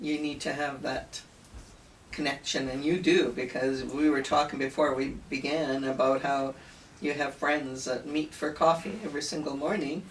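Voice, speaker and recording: With a Canadian accent, a woman talks at a moderate pace in a very deep, low pitch. Her intonation is fairly even, and there is noticeable background noise. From Italian-born, raised in Canada. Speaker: interviewer. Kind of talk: interview.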